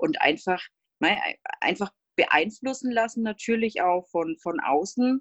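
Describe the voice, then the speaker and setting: A woman speaks very slowly, her intonation lively. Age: 30s. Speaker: stay-at-home mother of two. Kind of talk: interview.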